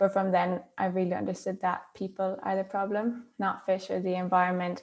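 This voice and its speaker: A woman with an Irish accent speaks in a monotone, flat intonation. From Ireland. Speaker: marine scientist. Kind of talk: panel discussion.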